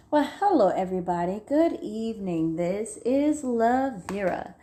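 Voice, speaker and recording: The woman's voice has a dark, mellow tone. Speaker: true crime storyteller. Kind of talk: casual true crime storytelling. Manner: loud, carrying voice; halting, many fillers.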